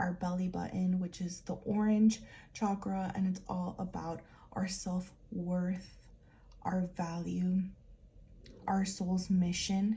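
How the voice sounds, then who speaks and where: At a very slow pace, a woman of medium pitch talks in a dark, mellow tone that is somewhat breathy. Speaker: tarot and oracle card reader. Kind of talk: spiritual card reading.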